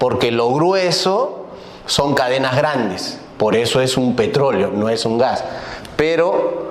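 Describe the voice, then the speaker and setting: Amid noticeable background noise and audible room echo, a man speaks at medium pitch with lively intonation. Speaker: energy consultant lecturer. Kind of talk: lecture.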